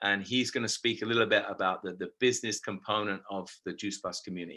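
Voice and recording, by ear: Fairly quick and fairly even in intonation, a man's speech carries a bright, sharp tone.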